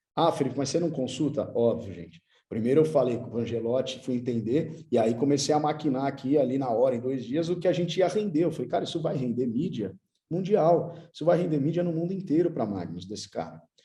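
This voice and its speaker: A man talks at a fairly quick pace in a fairly high pitch, his dark, mellow tone touched with vocal fry and carried by lively intonation. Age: 30s. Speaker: futsal club manager, former player. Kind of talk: conference talk. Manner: casual, slangy.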